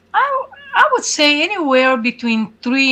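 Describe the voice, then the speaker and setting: Noticeable background noise behind a woman speaking at a fairly slow pace. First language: Hungarian. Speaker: angel mom activist. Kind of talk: interview. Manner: halting.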